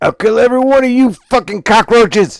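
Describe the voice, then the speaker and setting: Shouting in a gruff, put-on character voice at an extremely high pitch, a man talks at a fairly quick pace with ordinary pitch variation. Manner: yelling, threatening.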